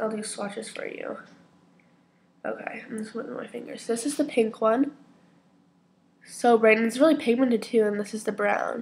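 Somewhat breathy, a woman with a fairly high voice speaks at a moderate pace, leaving long, frequent pauses. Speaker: beauty vlogger. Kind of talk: casual talk to camera.

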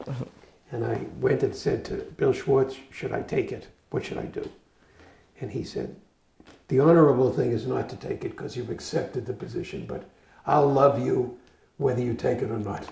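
With an American accent, a man speaks at a fairly quick pace, broken by long, frequent pauses, his loudness swinging widely as the room echo comes through audibly. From Boston area, Massachusetts. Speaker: retired physician. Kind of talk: oral history interview. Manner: halting. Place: home room. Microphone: lapel.

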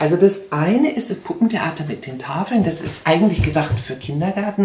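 Speaking at a moderate pace with a fairly low pitch, a woman is heard with audible room echo. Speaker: book reviewer for a reading association. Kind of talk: book recommendation with read-aloud. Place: home room. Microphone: camera far.

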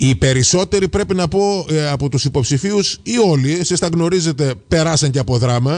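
A man with an ordinary speaking voice talks at a fairly high pitch and a moderate pace. His intonation is lively while his loudness stays very even. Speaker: radio host. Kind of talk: radio interview.

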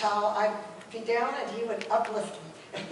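Over light background noise and audible room echo, a woman speaks at a fairly slow pace. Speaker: speaker. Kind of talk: memorial tribute speech. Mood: warm, fond, light laughs. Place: church. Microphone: camera far.

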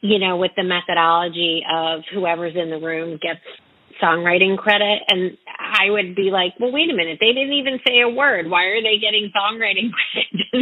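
A woman with an American accent talks at a medium pitch with ordinary pitch variation, in a normal speaking voice. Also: moderate pace. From North Carolina. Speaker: radio host and singer-songwriter. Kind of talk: interview.

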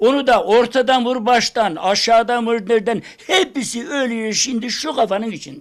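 A man talks with hardly any pauses in an extremely high-pitched voice. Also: ordinary pitch variation, moderate pace. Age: 80s+. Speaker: folk minstrel poet. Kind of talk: interview answer.

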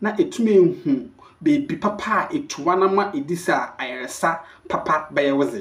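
A man with a fairly high pitch talks at a fairly quick pace, his pitch varying in an ordinary way.

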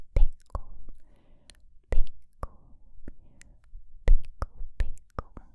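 Soft-spoken whispering from a woman, very slow in pace. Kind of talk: repeated whispered trigger words. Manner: soft close-mic whispered trigger words. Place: studio. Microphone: studio mic.

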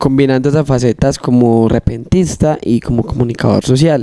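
Fairly even in intonation, a man with a fairly high voice speaks at a moderate pace. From Marinilla, Antioquia, Colombia. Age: 20s. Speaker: trova singer and freestyle rapper. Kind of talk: casual interview; improvised rhymed verse. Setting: studio. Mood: relaxed, friendly. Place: studio. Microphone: handheld.

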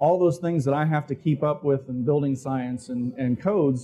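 A man talks at a moderate pace with ordinary pitch variation. His tone is dark and mellow, and somewhat breathy. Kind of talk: conference talk. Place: hall. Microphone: lapel.

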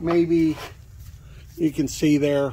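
A man's fairly high pitch with little pitch movement, a dark, mellow tone and a very slow pace

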